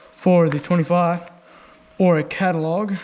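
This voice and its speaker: Fairly slow speech from a man, noticeable background noise underneath. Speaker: motorbike vlogger. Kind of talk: unboxing vlog.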